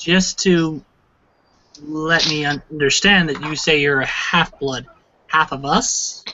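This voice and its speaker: A man uses a put-on character voice at a fairly high pitch. He goes at a fairly slow pace with long, frequent pauses. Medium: actual play. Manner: formal, probing.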